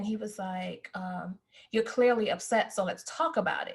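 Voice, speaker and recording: A woman of medium pitch talks at a moderate pace in a somewhat breathy voice with fairly even intonation. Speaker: podcast co-host, academic. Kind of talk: casual chat, personal story. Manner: soft-spoken.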